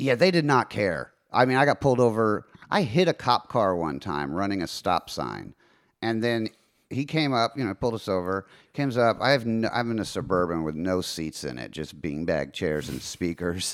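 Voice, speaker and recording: A man with an American accent, fairly low in pitch, at a moderate pace and with very wide pitch swings, on a very clean recording with a silent background. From Texas. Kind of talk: casual chat.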